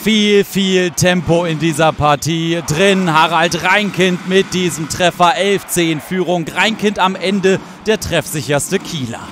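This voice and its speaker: A man's high voice at a very slow pace, fairly even intonation and hardly any pauses, against noticeable background noise. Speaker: handball commentator. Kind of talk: live sports commentary over match highlights, voiceover style.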